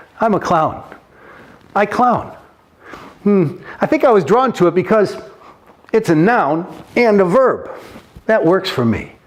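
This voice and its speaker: A high-pitched male voice at a fairly slow pace, with lively intonation, very even loudness and long, frequent pauses over noticeable background noise. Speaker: professional clown and storyteller. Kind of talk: casual talk to camera.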